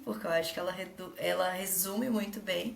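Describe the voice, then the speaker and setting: There's noticeable background noise and audible room echo. A woman speaks with ordinary pitch variation. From Brazil, Minas Gerais. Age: 20s. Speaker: tech manager and investor. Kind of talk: casual interview.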